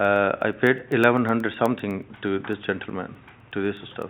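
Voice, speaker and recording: In a non-native accent, a man speaks with monotone, flat intonation. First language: not English. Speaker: shop licence holder. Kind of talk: testimony at hearing. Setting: council committee room. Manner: halting.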